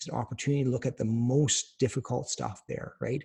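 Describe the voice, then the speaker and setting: This man talks at a fairly quick pace in a fairly high pitch. His tone is dark and mellow, and somewhat breathy. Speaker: doctor teaching cancer survivors. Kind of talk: webinar lecture. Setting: online webinar. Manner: soft, reassuring.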